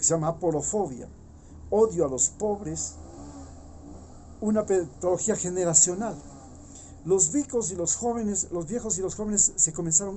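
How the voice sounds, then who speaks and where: At a moderate pace, a man speaks at a high pitch with long, frequent pauses. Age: 60s. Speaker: political commentator. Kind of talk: opinion monologue. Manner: animated; halting.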